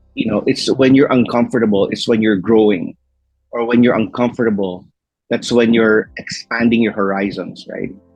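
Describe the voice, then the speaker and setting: Over music in the background, a man with an American accent talks at a moderate pace and medium pitch with fairly even intonation. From Philippines and US. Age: 50s. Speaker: entrepreneur. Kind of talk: interview. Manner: halting.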